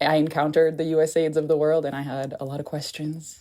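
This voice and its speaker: In an American accent, a woman speaks at a fairly quick pace. Her voice is very deep and low, with a dark, mellow tone. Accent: deceptively American. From Haiti. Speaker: anthropologist and aid reform advocate. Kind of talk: podcast interview. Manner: casual, conversational.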